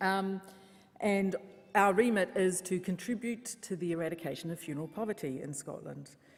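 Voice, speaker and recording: A woman's medium-pitched voice in a New Zealand accent with lively intonation. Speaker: funeral service worker. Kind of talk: conference talk.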